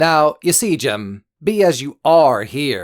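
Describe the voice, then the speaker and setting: This man puts on a character voice, talking at a fairly high pitch and a very slow pace. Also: very clean recording, silent background. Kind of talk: immersive audiobook character acting. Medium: read story. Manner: folksy, wheedling, genially threatening.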